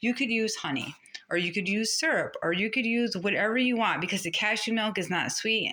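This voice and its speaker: A woman's animated, fairly quick speech over noticeable background noise. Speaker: food vlogger. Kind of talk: casual tutorial. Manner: fast.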